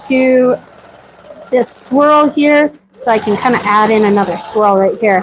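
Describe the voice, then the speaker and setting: With lively intonation, a woman speaks at a high pitch over noticeable background noise. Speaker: quilting instructor. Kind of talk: live tutorial. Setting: livestream. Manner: loud; casual, chatty.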